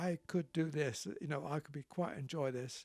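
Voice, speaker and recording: His pitch rises and falls by an ordinary amount. This man's voice sits fairly high. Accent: southern English. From Southampton, England. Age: 80s+. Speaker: retired RAF pilot. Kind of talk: interview answer.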